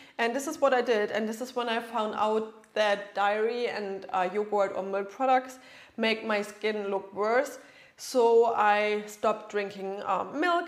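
A woman with a German accent, fairly high-pitched, at a fairly slow pace. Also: ordinary pitch variation. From Germany. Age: 30s. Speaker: nutritionist. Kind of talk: podcast monologue.

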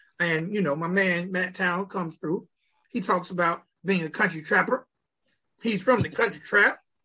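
A man's raised, projected voice, high-pitched and bright and sharp in tone, at a moderate pace. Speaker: podcast host, music reviewer. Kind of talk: casual video review chat. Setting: studio. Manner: animated, casual.

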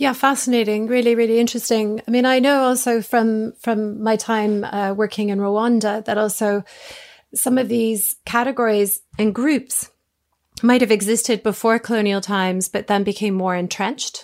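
In a very clean recording with a silent background, a woman with an ordinary speaking voice talks at a fairly high pitch with fairly even intonation. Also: moderate pace. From Canada, Toronto. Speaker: podcast host. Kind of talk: interview.

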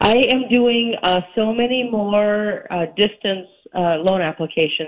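In an ordinary speaking voice, a woman talks at a medium pitch with lively intonation. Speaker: mortgage lender and credit expert. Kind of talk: radio interview chat about real estate and credit. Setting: phone call.

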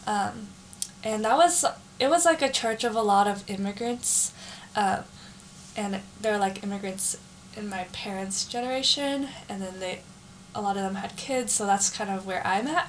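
A woman with an American accent speaks at medium pitch and a moderate pace, her intonation lively, with long, frequent pauses and noticeable background noise. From San Jose, California. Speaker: college student. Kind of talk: casual chat.

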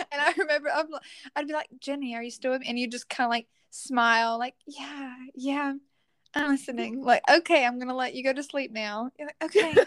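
A woman with a Southern US accent talks at a fairly quick pace in a high voice with ordinary pitch variation, recorded dry and close with no echo, very clean against a silent background. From Louisiana, US South. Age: 20s. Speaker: teacher and church youth leader. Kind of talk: casual interview chat.

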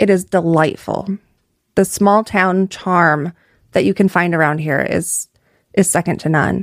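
With a Midwestern American accent, a woman speaks at a fairly low pitch and a fairly slow pace, using fairly even intonation and long, frequent pauses, in a dry, close sound with no echo. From North Iowa (Clear Lake). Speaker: political candidate. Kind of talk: casual interview.

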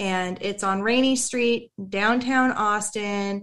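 In an American accent, a woman speaks very slowly at a fairly high pitch with fairly even intonation, on a very clean recording with a silent background. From US Pacific Northwest, near Tacoma. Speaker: veteran nonprofit manager. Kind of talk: casual chat.

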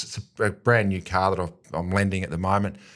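In an Australian accent, a fairly low-pitched man speaks at a fairly quick pace in a very clean recording with a silent background. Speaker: AFL footballer and football pundit. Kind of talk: casual chat.

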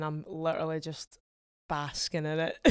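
With an Edinburgh accent, a woman speaks at a moderate pace and fairly low pitch in a very clean recording with a silent background. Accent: Scottish (Edinburgh). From Scotland, Edinburgh. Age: 20s. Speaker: singer-songwriter. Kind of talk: casual chat.

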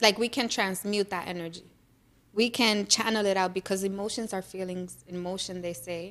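A woman with a medium pitch and fairly even intonation speaks at a moderate pace. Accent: American. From New York, the Bronx. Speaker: small business founder. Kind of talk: casual interview.

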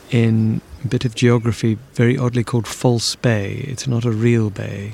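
A man speaks quietly and at a fairly slow pace, his voice medium in pitch and somewhat breathy. His intonation is monotone and flat. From South Africa, Cape Town. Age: 50s. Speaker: business owner recounting a ghost experience. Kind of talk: personal testimony interview. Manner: quiet, measured.

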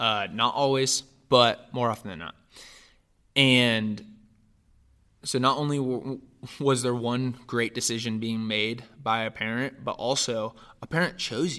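A man speaks with a bright, sharp tone at a medium pitch, fairly slow and with fairly even intonation. Long, frequent pauses break up his speech on a very clean recording with a silent background. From Northern California. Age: 20s. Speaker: adoptee telling life story, pastoral apprentice. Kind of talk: personal testimony in interview.

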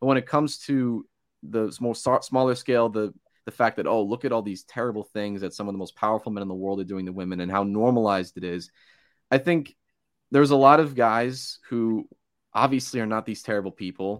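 In a very clean recording with a silent background, a man with an American accent and a normal speaking voice talks at a fairly quick pace, at medium pitch with ordinary pitch variation. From New Jersey Shore. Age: 20s. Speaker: college radio host. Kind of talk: interview guest.

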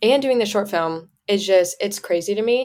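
A woman talks in a plain, everyday voice with an American accent. Her pitch is medium and varies in an ordinary way. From US Midwest (Indiana). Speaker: university student and social media creator. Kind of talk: casual chat. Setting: video call.

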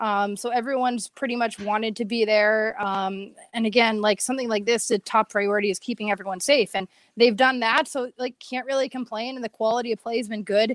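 A woman's ordinary speaking voice at a fairly high pitch and fairly quick pace, very clean with a silent background and a dry, close sound with no echo. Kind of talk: casual hockey analysis chat. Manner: chatty, fluent, upbeat.

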